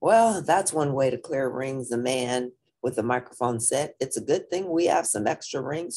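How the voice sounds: Against a quiet background, ordinary pitch variation shapes a natural reading voice.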